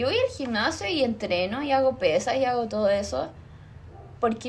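With noticeable background noise behind her, a woman with a high pitch talks at a moderate pace. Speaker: podcast host. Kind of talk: casual chat.

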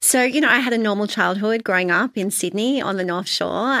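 With an Australian accent, this voice has a bright, sharp tone and ordinary pitch variation. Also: woman. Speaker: founder and author. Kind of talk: casual interview chat.

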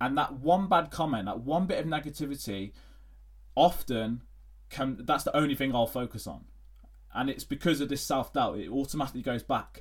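A man with an English accent speaks fairly quickly at a fairly high pitch, with vocal fry. His pitch varies in an ordinary way, and the recording is very clean with a silent background. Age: 20s. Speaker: fitness coach. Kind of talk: solo podcast monologue. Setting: home recording at laptop. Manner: halting.

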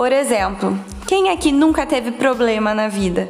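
A woman speaks at a moderate pace with very wide pitch swings. Music plays in the background and the room echo is audible. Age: 20s. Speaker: quality management specialist. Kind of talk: solo podcast monologue.

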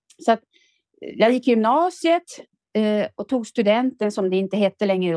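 A woman's fairly high, dark and mellow voice, dry and close with no echo, at a moderate pace with very wide pitch swings and long, frequent pauses. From Ångermanland, northern Sweden. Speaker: retired factory worker and author. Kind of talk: casual interview.

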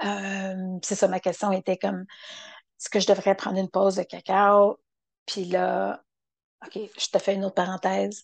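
With a Quebec accent, a woman speaks at a fairly slow pace with long, frequent pauses, the sound dry and close with no echo against a quiet background. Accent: Québécois French. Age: 50s. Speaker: podcaster. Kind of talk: solo reflective monologue. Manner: halting.

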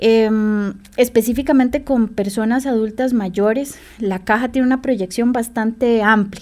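A woman with a plain, everyday voice speaks at a fairly high pitch and a fairly slow pace. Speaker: social worker. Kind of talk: radio interview.

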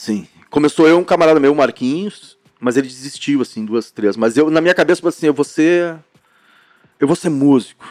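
A man speaks at a moderate pace in a plain, everyday voice, his pitch fairly high with ordinary variation. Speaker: rock band singer and guitarist. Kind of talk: casual chat.

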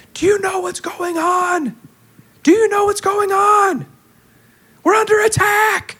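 Shouting in a put-on character voice at an extremely high pitch, the speaker sounds panicked, moving at a fairly slow pace with long, frequent pauses. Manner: screaming, panicked.

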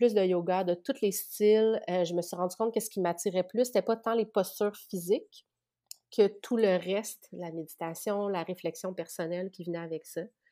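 A woman with a Quebec accent speaks at a moderate pace and medium pitch, her tone dark and mellow and her intonation fairly even, on a very clean recording with a silent background. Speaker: spiritual practitioner. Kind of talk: casual interview.

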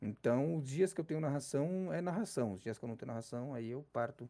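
A man talks at a very fast pace, his medium pitch swinging very widely, his tone dark and mellow. The recording is very clean and the background silent. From Brazil, São Paulo city (south zone). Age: 30s. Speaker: esports caster and streamer. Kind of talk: casual interview.

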